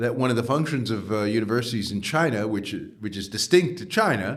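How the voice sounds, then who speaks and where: A man with a New York accent talks at a fairly quick pace in a medium pitch with lively intonation. Audible room echo and noticeable background noise come through. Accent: New York American. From US Northeast, New York. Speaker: professor. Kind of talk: interview. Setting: podcast. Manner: many hesitations and fillers.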